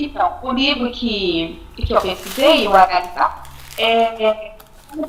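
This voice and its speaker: A woman's voice with very wide pitch swings, amid noticeable background noise. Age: 40s. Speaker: education student. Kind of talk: class presentation. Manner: halting.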